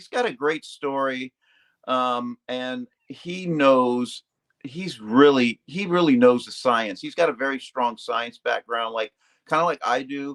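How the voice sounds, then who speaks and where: A man at a medium pitch and fairly slow pace, ordinary pitch variation, big swings in loudness, dry and close with no echo. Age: 60s. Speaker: retired Navy and defense worker, carnivore dieter. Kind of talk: casual chat. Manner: halting, many fillers.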